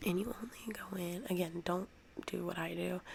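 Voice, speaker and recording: Noticeable background noise sits behind a woman as she talks. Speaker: ASMR creator. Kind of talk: ASMR soft-spoken tutorial. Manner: soft-spoken; hesitant with fillers.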